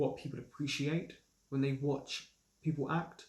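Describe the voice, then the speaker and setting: A man in a southern English accent talks fairly quickly at a medium pitch, sounding somewhat breathy. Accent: well-spoken southern English, trained. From London, England. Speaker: actor and assistant director running a review channel. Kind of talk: casual Q&A vlog. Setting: home recording during isolation.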